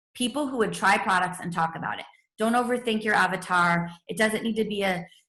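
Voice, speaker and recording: A woman talks at a very fast pace. Her tone is bright and sharp. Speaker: network marketing team leader. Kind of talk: training webinar. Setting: video call with screen share. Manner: animated.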